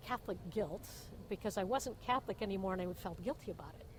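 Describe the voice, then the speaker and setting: With an American accent, a woman speaks at a very fast pace in a medium pitch. Her intonation is lively and her voice somewhat breathy. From Indiana, USA. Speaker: Vietnam-era Army nurse. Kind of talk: oral history interview answer. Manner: casual, humorous storytelling.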